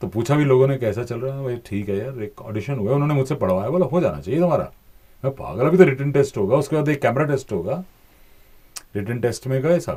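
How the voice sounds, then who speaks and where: A man's somewhat breathy voice with a dark, mellow tone, lively intonation and a moderate pace, over a quiet background. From India. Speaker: voice-over artist and former TV news anchor. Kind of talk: interview answer. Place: studio. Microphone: studio mic.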